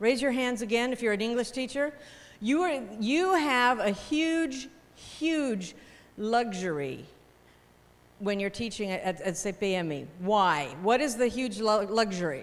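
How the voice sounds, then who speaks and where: A woman with an American accent talks at a fairly slow pace in an animated tone and a fairly high pitch. Her pitch swings very widely, and room echo is audible. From United States. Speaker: teacher trainer. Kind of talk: workshop lecture.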